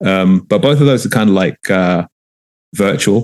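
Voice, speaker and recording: A man with a London accent talks at a moderate pace with ordinary pitch variation. The sound is dry and close, with no echo. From London, England. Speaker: journalist, running club organizer. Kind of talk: podcast interview. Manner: hesitant, many fillers.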